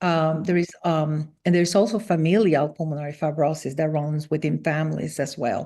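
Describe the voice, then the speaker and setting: Talking at a fairly slow pace, a woman has a very deep, low pitch, fairly even intonation and a dark, mellow tone. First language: Spanish. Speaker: former physician and transplant survivor. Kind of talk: interview. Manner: halting, many fillers.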